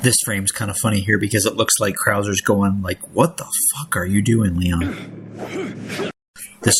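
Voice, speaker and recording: A man speaks fairly quickly with fairly even intonation and a fairly low pitch. Noticeable background noise sits under his voice. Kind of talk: casual commentary on game footage. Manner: whispered.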